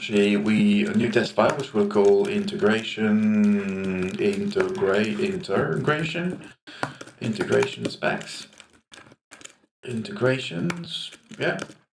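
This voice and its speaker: With audible room echo around him, a man talks at a very slow pace. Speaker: programmer. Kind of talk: tutorial. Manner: halting. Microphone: cheap mic right over the keyboard.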